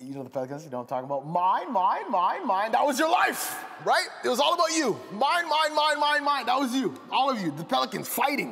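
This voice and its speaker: Raised and projected, a man's extremely high-pitched voice swings very widely in pitch at a fairly quick pace with hardly any pauses. Noticeable background noise and audible room echo are present. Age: 20s. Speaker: pastor. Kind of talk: sermon. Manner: animated.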